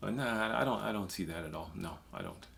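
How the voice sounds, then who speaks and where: A man with an American accent and vocal fry at a fairly quick pace, with audible room echo. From US inner city. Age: 50s. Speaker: former prison inmate. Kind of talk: casual chat.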